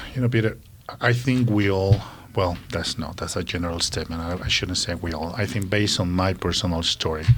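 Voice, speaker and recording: A man with a Colombian accent speaks at a fairly quick pace. His very deep, low pitch shows ordinary variation. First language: Spanish. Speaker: social worker. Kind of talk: interview.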